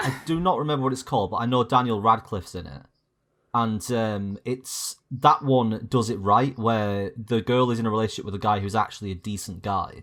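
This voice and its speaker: A man's medium-pitched voice with a slight Yorkshire accent, ordinary pitch variation and a fairly quick pace, on a very clean recording with a silent background. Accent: slight Yorkshire twang. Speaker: podcast guest. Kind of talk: casual chat.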